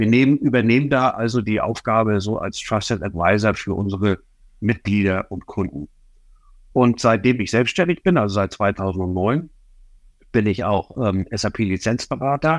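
A man's fairly low voice at a moderate pace, with ordinary pitch variation, a dry, close sound with no echo and a quiet background. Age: 60s. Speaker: SAP licensing consultant. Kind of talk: interview. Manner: hesitant fillers.

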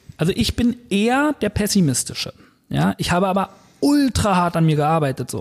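At a moderate pace, a man speaks with a high voice and very wide pitch swings. The sound is dry and close, with no echo. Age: 30s. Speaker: personal trainer. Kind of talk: casual chat.

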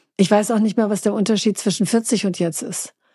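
This woman's voice has a dark, mellow tone and fairly even intonation. Behind her the background stays quiet. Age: 50s. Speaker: beauty expert, shop owner. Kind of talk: interview conversation.

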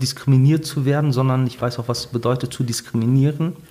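A man talks in a medium pitch with a somewhat breathy voice. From Ruhr area, Germany (Bottrop). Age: 40s. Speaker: pastor. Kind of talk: interview storytelling. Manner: animated storytelling.

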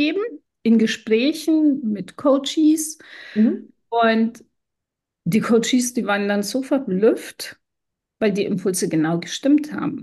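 A woman with a fairly high pitch speaks at a very slow pace with ordinary pitch variation. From Iran. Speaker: podcast co-host and businesswoman. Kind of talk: personal storytelling in casual chat.

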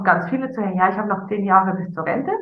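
Audible room echo surrounds this woman as she talks. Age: 50s. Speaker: life coach. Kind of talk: casual chat.

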